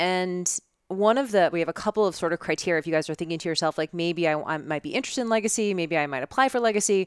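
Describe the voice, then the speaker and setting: Talking at a very fast pace, a woman uses lively intonation at a fairly low pitch, recorded very cleanly against a silent background with a dry, close sound and no echo. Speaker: fitness business coach. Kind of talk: casual chat. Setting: in person studio.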